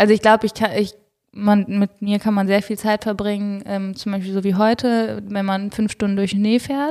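A woman's medium-pitched voice stays monotone and flat as she talks at a moderate speed. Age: 30s. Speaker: professional triathlete and doctor. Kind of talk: casual interview chat. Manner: hesitant, many filler sounds.

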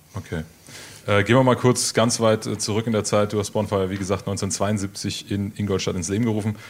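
In an ordinary speaking voice, a man talks at a fairly quick pace, his pitch fairly low and his intonation fairly even. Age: 20s. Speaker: radio host. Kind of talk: radio interview.

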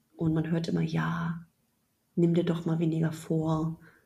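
A somewhat breathy woman's voice, fairly low in pitch, at a very slow pace. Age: 30s. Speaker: app founder. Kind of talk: casual interview.

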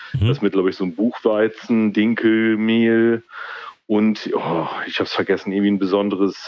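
With a fairly low pitch and a moderate pace, a man talks in an ordinary speaking voice. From East Frisia, northern Germany. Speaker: guest with a home building project. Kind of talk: casual chat. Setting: phone call.

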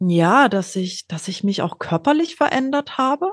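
The audio is dry and close, without any echo. The speaker is a woman. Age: 40s. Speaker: scoliosis patient sharing her story. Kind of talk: interview, personal story.

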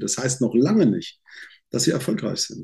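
There is vocal fry in this man's dark, mellow tone. He talks at a fairly quick pace. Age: 60s. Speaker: sales trainer. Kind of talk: casual interview. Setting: video call. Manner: animated.

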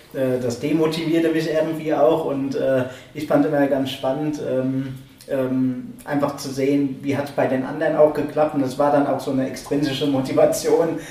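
The voice moves at a moderate pace in a monotone, flat intonation. Audible room echo and noticeable background noise accompany it. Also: man, fairly high pitch for a man. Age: 30s. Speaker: guitar course student. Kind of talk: casual group conversation. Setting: music school room.

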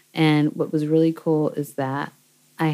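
A woman's very deep, low-pitched voice with an American accent. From US West Coast, Seattle. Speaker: singer-songwriter and producer. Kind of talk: interview conversation. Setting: recording, no camera. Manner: animated.

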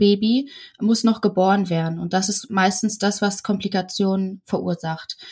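A woman speaks at a medium pitch in a somewhat breathy voice. She talks at a moderate pace. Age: 20s. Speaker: midwife. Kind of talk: interview.

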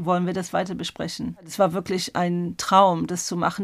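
A woman speaks at a medium pitch with an English accent. The recording is very clean, with a silent background. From England. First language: English (speaking German). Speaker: exhibition curator. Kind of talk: interview. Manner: halting.

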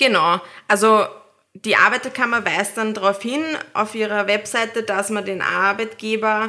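Delivered at a moderate pace, the voice has a bright, sharp tone. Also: woman. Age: 30s. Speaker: new mother, office worker. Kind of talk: casual chat.

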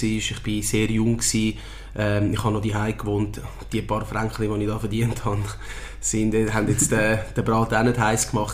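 A man talks at a fairly quick pace in a fairly low voice, with noticeable background noise and audible room echo. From Switzerland. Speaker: football coach, former pro footballer. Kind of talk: interview. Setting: club premises.

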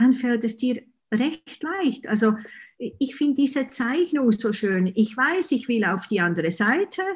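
A woman with a Swiss German accent speaks at a very slow pace and fairly high pitch, with lively intonation against a quiet background. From Switzerland. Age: 50s. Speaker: author and hypnotherapist. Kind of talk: casual interview.

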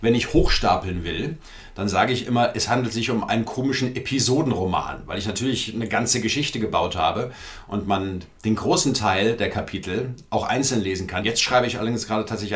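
A fairly quick delivery with ordinary pitch variation, audible room echo, and noticeable background noise. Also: man. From Frankfurt am Main, Hesse. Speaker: cabaret artist and author. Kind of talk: casual interview chat.

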